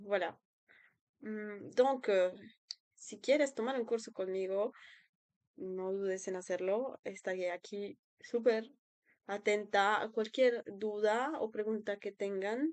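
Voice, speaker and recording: Over a quiet background, a woman with a fairly high pitch talks at a very slow pace, leaving long, frequent pauses. Her loudness swings widely while her pitch varies in an ordinary way. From Colombia. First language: Spanish (speaking French). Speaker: language tutor and student. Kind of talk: self-introduction video. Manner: hesitant, many fillers.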